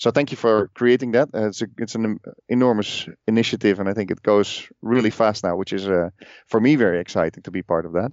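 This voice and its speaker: In a Dutch accent, a man talks at a very fast pace with fairly low pitch and ordinary pitch variation. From Netherlands. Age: 40s. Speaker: podcast host and telecom professional. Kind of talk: casual interview. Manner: halting, many fillers.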